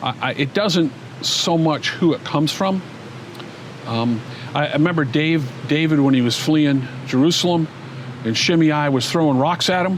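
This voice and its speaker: There is noticeable background noise as a man talks at a moderate pace. His pitch varies in an ordinary way, and he takes long, frequent pauses. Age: 60s. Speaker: former pastor. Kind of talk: interview.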